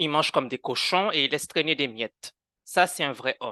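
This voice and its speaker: The sound is dry and close with no echo, against a quiet background. A man talks at a moderate pace with a bright, sharp tone. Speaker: conversion therapy survivor. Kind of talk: testimony in a podcast interview. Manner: animated; halting, with repetitions.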